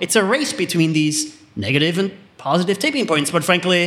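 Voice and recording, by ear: With a fairly bright tone, a man speaks at a fairly high pitch and a moderate pace, his intonation lively.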